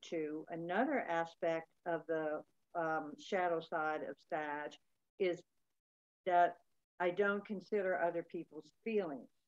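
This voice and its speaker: A woman's fairly low voice at a very slow pace, with ordinary pitch variation and a quiet background. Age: 60s. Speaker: workshop participant. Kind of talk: personal sharing in group chat. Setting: video call. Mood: reflective, personal. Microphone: video call.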